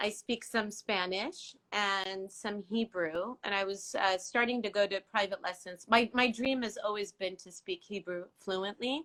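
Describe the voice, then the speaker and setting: In a dry, close sound with no echo, a woman speaks fairly slowly with a bright, sharp tone and fairly even intonation. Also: medium pitch for a woman. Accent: Iranian. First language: Farsi. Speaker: interview guest. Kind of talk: casual chat.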